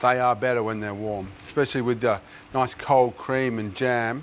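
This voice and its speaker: Loud and animated in tone, the speaker talks with an Australian accent. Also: man. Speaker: TV chef. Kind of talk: cooking tutorial. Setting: kitchen studio on camera.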